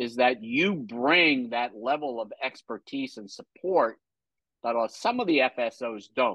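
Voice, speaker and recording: A man with an unremarkable speaking voice, medium in pitch, with ordinary pitch variation. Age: 60s. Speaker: podcast host and franchise consultant. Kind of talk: interview.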